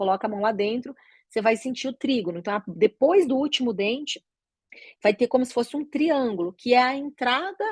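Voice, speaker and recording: The voice swings very widely in pitch, heard in a dry, close sound with no echo. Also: woman. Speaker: oral and maxillofacial surgeon teaching doctors. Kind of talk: lecture.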